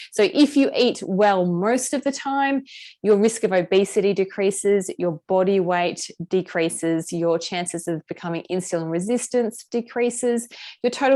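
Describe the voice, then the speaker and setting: A woman's dark, mellow voice with an Australian accent, at a medium pitch with lively intonation. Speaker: nutritionist running a health program. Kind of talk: online group session presentation. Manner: fast.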